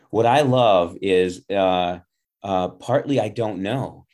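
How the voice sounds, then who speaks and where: On a very clean recording with a silent background, a man with an Upper Midwest accent speaks in a very deep, low pitch with ordinary pitch variation. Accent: Upper Midwest American. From Milwaukee, Wisconsin. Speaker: podcast host. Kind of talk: interview. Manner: hesitant, many fillers.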